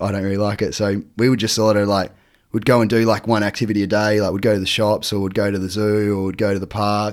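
Talking at a very fast pace, a man with an Australian accent keeps a monotone, flat intonation. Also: fairly low pitch for a man, very clean recording, silent background. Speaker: teacher and water skier. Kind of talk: casual chat.

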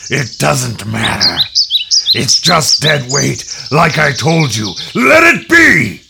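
Very slowly, a man growls through a put-on character voice at a medium pitch. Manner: growling, through gritted teeth.

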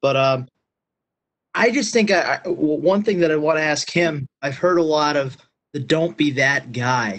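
Pitched fairly high, a man's voice moves with ordinary pitch variation. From Pennsylvania. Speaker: magazine staff, football official. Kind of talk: Q&A on a group call.

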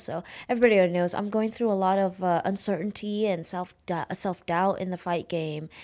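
A woman with an American accent and a normal speaking voice, medium pitch, ordinary pitch variation and moderate pace, on a very clean recording with a silent background. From Oakland, California. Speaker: MMA fighter. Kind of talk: casual interview chat. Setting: studio.

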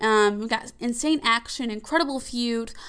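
With a bright, sharp tone, a woman speaks at a high pitch and keeps her intonation fairly even. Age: 20s. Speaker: wrestling podcast host. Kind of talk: casual solo podcast monologue. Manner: hesitant, many fillers.

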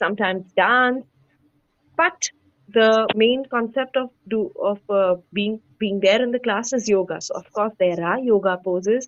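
Speaking with an Indian accent, a woman keeps a fairly slow pace. Her pitch is fairly high, with ordinary variation. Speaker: yoga instructor. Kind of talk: interview. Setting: video call.

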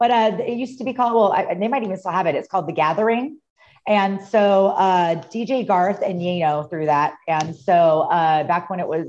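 A woman talks at a fairly quick pace in a plain, everyday voice. Her pitch is medium, with ordinary variation. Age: 40s. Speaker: DJ. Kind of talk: casual chat.

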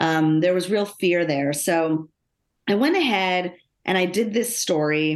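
Against a quiet background, a woman with an American accent speaks at a fairly slow pace in a fairly low voice, with ordinary pitch variation and very even loudness. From Los Angeles suburbs, US. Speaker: business executive and author. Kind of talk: interview.

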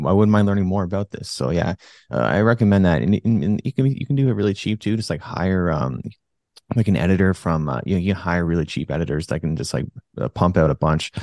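Very fast and with lively intonation, a man speaks in a very deep, low pitch. The sound is dry and close with no echo, and the background is quiet. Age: 30s. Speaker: jiu-jitsu instructor and gym owner. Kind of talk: casual chat.

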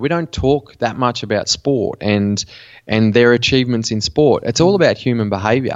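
Man with an Australian accent, medium pitch, lively intonation and a moderate pace. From Western New South Wales, Australia. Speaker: mental performance coach. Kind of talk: interview.

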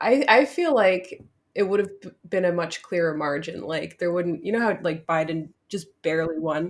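A plain, everyday voice, a woman with an American accent speaks at a moderate pace with lively intonation. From New Jersey, Newark area. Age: 20s. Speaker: cam model and content creator. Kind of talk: casual interview chat.

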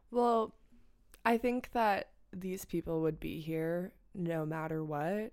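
The speech is very slow, with a New York accent and ordinary pitch variation. The recording is very clean, with a silent background. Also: woman, fairly low pitch for a woman. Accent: New York area American. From US Northeast, Westchester County, New York. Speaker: student, magazine co-founder. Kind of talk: casual chat.

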